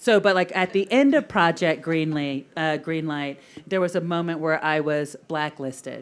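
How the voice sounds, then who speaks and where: A woman talks with a fairly low pitch and ordinary pitch variation. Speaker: film producer. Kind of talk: panel discussion. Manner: fast; animated.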